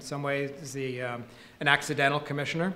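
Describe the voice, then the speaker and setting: A man with a normal speaking voice talks in a fairly high register and fairly even intonation over light background noise. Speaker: state utility regulator; speaker. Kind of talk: panel presentation. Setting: stage with audience. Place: hall. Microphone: podium.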